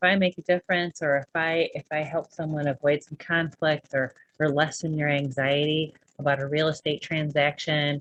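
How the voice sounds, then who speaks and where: A woman speaks at a moderate pace in a very deep, low voice, with dry, close sound and no echo. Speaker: real estate broker and podcast host. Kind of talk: casual monologue. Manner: sometimes stutters; unscripted, halting.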